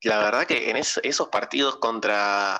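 Here a man talks at a fairly slow pace. His medium-pitched voice has a bright, sharp tone. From Argentina. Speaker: basketball fan content creator. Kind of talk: casual chat.

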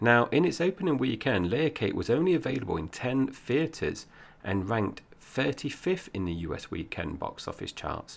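Vocal fry marks this man's medium-pitched voice, which swings very widely in pitch at a moderate pace. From Essex, England. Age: 40s. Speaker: film podcast host. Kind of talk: casual film review chat.

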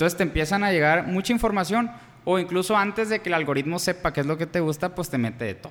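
A man's very fast, high-pitched voice with ordinary pitch variation. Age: 20s. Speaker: podcast co-host. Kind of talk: casual chat.

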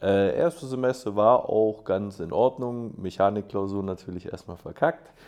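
A man with a plain, everyday voice, fairly low in pitch, with ordinary pitch variation, a moderate pace and hardly any pauses. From Swabia, Germany (Schorndorf). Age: 20s. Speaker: aerobatic glider pilot and student. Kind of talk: casual interview.

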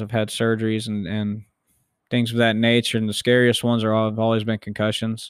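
At a medium pitch, a man talks with monotone, flat intonation. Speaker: podcaster. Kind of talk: solo monologue podcast, casual and confessional. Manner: halting, filled with ums and restarts; speaks fast, stumbles over words.

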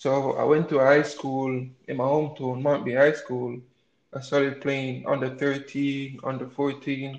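A man speaks at a fairly high pitch and a moderate pace. His intonation stays monotone and flat. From Jamaica, St. Thomas parish. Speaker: college soccer player. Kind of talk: interview.

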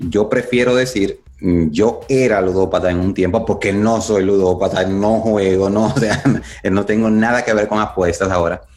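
A man's fairly low voice at a fairly slow pace, with fairly even intonation and very even loudness. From Dominican Republic. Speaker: addiction recovery speaker. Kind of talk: interview.

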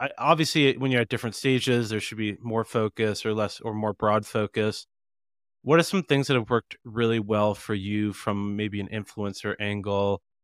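In a very clean recording with a silent background and a dry, close sound with no echo, a man uses a normal speaking voice at medium pitch, moderate pace and ordinary pitch variation. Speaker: podcast interviewer. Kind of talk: interview.

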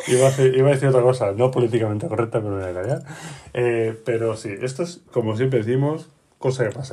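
Somewhat breathy, a man of medium pitch with a dark, mellow tone speaks at a fairly quick pace. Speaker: podcast host and game master. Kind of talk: casual chat.

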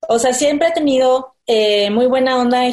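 Pitch variation from this woman is ordinary. She keeps a moderate pace. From Tabasco, Mexico. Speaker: illustrator and cosplayer. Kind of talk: interview.

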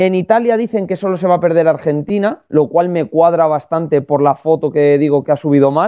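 Hardly any pauses interrupt this fairly quick delivery. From Spain. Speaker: motorsport pundit. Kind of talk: casual chat.

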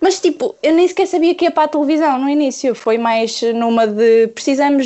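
A woman talks at a moderate pace, her high pitch showing ordinary variation. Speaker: illustrator. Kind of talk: casual chat.

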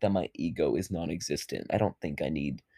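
A man talks at a very fast pace, his voice showing vocal fry and a dark, mellow tone. The sound is dry and close, with no echo. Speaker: solo podcaster. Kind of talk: casual monologue. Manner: calm, subdued; rambling with fillers.

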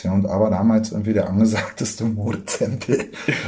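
A man's dark, mellow tone at a fairly low pitch, with fairly even intonation and audible room echo. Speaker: screenwriter and podcast host. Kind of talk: casual chat. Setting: kitchen.

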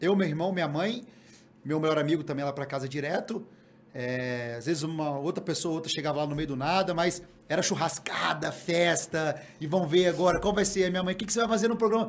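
Fairly quick and high-pitched for a man, this voice shows ordinary pitch variation. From Guarapari, Espírito Santo, Brazil. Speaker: reality TV contestant. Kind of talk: casual chat.

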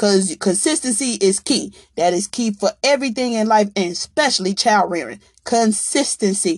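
Heard dry and close with no echo, a woman speaks at medium pitch and a moderate pace with lively intonation. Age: 40s. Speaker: podcast host. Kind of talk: monologue. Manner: animated.

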